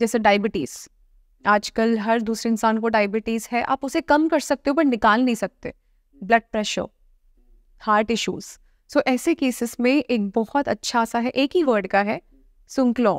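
A woman's fairly high voice with ordinary pitch variation at a fairly slow pace, dry with no echo, over a quiet background. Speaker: dentist and occult practitioner; guest. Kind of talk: interview. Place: studio. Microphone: lapel.

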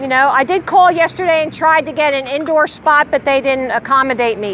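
A woman at a fairly quick pace, dry sound with no echo, light background noise behind her. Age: 60s. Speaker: flat earth street activist. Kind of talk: heated debate. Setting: outdoors. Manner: animated. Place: street. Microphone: phone near.

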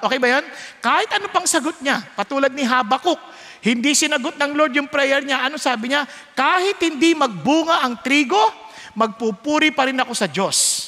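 With a Filipino accent, a man uses a raised, projected voice at an extremely high pitch with ordinary pitch variation. His tone is animated and warm, his loudness very even, and his pace moderate. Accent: Filipino English, Taglish. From Philippines. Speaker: preacher. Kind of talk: sermon. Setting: church with live audience. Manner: animated, warm and humorous, acting out child and parent voices; conversational Taglish, asks the audience to respond. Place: church. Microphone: headset.

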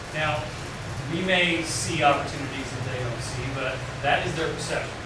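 A man's voice carries audible room echo along with noticeable background noise. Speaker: university professor and researcher. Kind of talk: seminar lecture. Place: classroom. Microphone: camera far.

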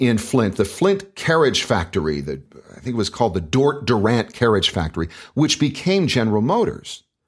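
A man's medium-pitched voice with vocal fry and an American accent, very wide pitch swings, a moderate pace, and a quiet background. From United States. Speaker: voice actor. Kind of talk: interview answer. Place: studio.

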